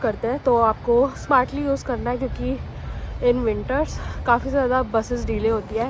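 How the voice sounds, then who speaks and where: The speech moves at a fairly slow pace with monotone, flat intonation. Noticeable background noise runs underneath. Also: woman. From India, Delhi. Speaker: vlogger. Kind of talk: casual vlog. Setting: outdoors.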